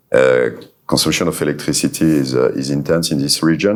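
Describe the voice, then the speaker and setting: This man has a very deep, low voice and a French accent. He talks at a fairly quick pace. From France. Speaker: solar company executive. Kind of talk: panel discussion. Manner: halting.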